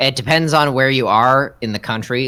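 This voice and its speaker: A man's bright, sharp tone at a fairly quick pace, with ordinary pitch variation, on a very clean recording with a silent background. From Canada, Newfoundland. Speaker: streamer co-host. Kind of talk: casual chat.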